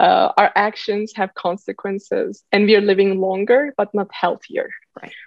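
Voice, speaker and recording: A woman with a Turkish accent talks at a moderate pace, her loudness swinging widely. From Turkey. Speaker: startup founder and CEO. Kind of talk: podcast interview. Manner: halting.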